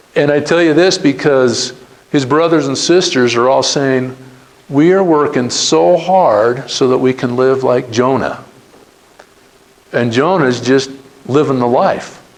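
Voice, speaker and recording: A man with an American accent talks fairly slowly at medium pitch, with ordinary pitch variation, very even loudness and long, frequent pauses. Audible room echo and noticeable background noise fill the recording. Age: 60s. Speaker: entrepreneur. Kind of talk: talk to students. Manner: casual.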